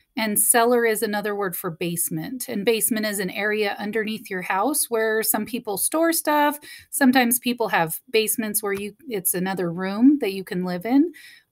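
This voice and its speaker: A woman talks at a moderate pace, her pitch showing ordinary variation, while the background stays quiet. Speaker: teacher. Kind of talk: talk to pupils before reading a book aloud. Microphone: webcam.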